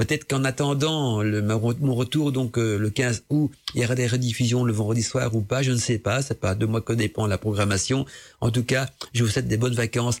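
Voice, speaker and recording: The recording is very clean, and the background is silent. A somewhat breathy voice is heard. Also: man. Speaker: radio host. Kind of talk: casual radio talk on esoteric topics. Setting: home studio.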